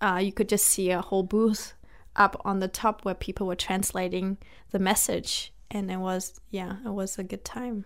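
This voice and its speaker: In a very clean recording with a silent background, a woman speaks at a moderate pace and medium pitch with monotone, flat intonation. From Germany. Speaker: children's ministry director. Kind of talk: interview about faith and healing.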